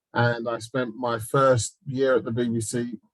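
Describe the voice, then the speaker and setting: A man speaks at a medium pitch in a southeast English accent, his intonation flat and monotone. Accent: London and South East English. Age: 50s. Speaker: TV executive and producer. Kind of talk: panel talk.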